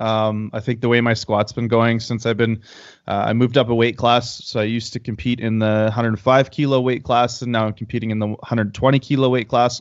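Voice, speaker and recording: A man with a Canadian accent has an unremarkable speaking voice, pitched in the medium range and delivered at a moderate pace. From Canada. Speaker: powerlifter and powerlifting coach. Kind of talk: casual interview.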